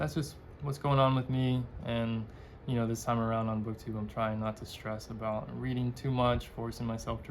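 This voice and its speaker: A man mumbling at a moderate pace, with fairly even intonation and audible room echo. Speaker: book vlogger. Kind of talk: casual chat.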